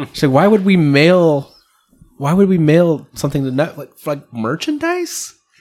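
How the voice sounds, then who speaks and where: This man has an unremarkable speaking voice, pitched fairly high, moving at a moderate pace with ordinary pitch variation. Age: 30s. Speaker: podcast host. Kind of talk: casual chat.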